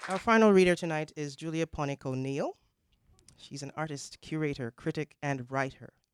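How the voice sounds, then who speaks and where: The recording is very clean, with a silent background. The speaker keeps a moderate pace. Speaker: event host. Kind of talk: introducing a reader.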